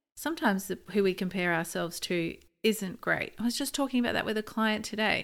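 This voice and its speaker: On a very clean recording with a silent background, a woman speaks at a fairly quick pace. Her pitch varies in an ordinary way, and vocal fry comes through. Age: 40s. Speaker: podcast host and naturopath. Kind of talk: solo podcast monologue. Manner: animated.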